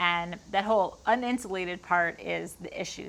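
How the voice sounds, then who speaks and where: At a fairly slow pace, a woman with a Long Island accent speaks at a medium pitch in a very clean recording with a silent background. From Long Island, New York. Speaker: woodworker. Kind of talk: casual Q&A talk to camera. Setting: garage workshop.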